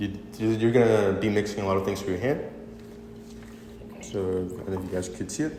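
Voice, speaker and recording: A man speaks at a fairly low pitch and a fairly quick pace, with ordinary pitch variation and long, frequent pauses. Audible room echo and noticeable background noise fill the recording. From Venezuela. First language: Spanish. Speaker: cooking demonstrator. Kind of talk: tutorial. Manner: halting.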